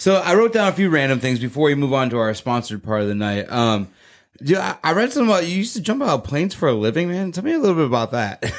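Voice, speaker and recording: Very fast and fairly high in pitch, a man talks with very wide pitch swings. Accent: American. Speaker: podcast host. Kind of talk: casual interview; scripted show intro.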